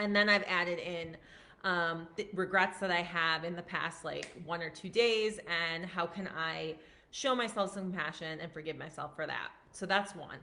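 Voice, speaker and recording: Loud and with a bright, sharp tone, a woman speaks at a moderate pace in a fairly low pitch with fairly even intonation. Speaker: physician and wellness coach. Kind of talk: live stream talk. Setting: at parents' house, live stream. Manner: casual, filler-heavy.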